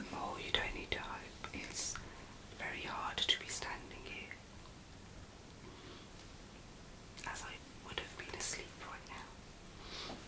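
Whispering at a very slow pace, a soft-spoken woman with a relaxed tone leaves long, frequent pauses, her loudness swinging widely over noticeable background noise. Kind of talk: casual vlog chat. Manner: relaxed soft whisper, drowsy. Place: home room. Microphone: phone near.

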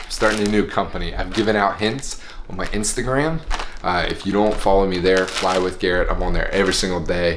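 Over noticeable background noise, a man with an American accent speaks at a fairly quick pace in a fairly low voice with ordinary pitch variation. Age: 20s. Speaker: airline pilot and vlogger; vlogger. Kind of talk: casual vlog monologue. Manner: animated.

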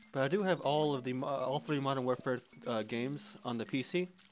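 A man speaks with music in the background. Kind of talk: let's play commentary. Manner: casual.

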